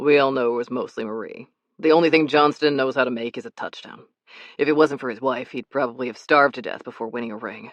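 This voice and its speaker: A man's put-on character voice, rumbling at a medium pitch, very fast, with ordinary pitch variation and big swings in loudness. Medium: read story. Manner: grumbling, commanding.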